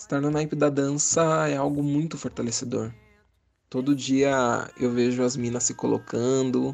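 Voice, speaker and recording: Music plays in the background as a man talks at a fairly slow pace. His intonation stays fairly even. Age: 20s. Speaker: dancer. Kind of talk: personal testimony.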